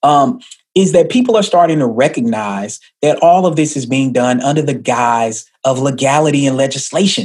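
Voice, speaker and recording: A man with an American accent and an unremarkable speaking voice, fairly high in pitch, with lively intonation at a moderate pace. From US South, Atlanta, Georgia. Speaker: sociology professor, policy scholar. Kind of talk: interview. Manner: fluent, articulate.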